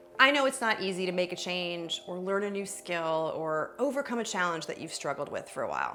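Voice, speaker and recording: A woman speaks at a medium pitch with lively intonation and hardly any pauses. Her pace is fairly quick, with music playing in the background. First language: not English. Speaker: communication coach. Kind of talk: online course video. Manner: animated.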